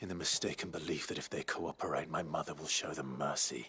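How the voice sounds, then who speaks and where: In a put-on character voice, a man rattles along at a very fast pace, very deep and low in pitch with fairly even intonation. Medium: video game. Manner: measured, earnest.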